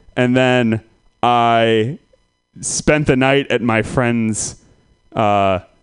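Speaking in an American accent, a man has a normal speaking voice at medium pitch with fairly even intonation. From Santa Rosa, California. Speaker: comedian. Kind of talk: stand-up.

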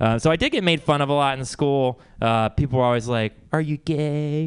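A man with an American accent uses a normal speaking voice, fairly high in pitch, with fairly even intonation, very even loudness, a moderate pace and hardly any pauses. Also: quiet background. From Texas. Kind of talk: open mic stand-up. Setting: stage with audience.

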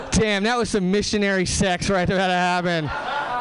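A man with an American accent speaks at a moderate pace in a high pitch. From Southern California. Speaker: stand-up comedian. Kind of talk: stand-up comedy. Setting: stage with audience.

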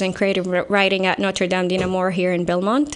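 This woman has an Arabic accent and a medium pitch. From Saudi Arabia. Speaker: writer. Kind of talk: interview.

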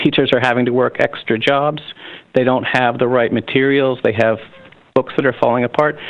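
A man with an American accent talks fairly quickly at a medium pitch in a normal speaking voice. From US, Pennsylvania. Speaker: union leader. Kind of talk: interview.

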